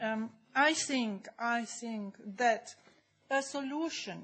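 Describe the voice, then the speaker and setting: Very slow, somewhat breathy speech from a woman. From Germany. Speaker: audience member asking a question. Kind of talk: Q&A question from the floor. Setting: conference hall. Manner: halting, many fillers.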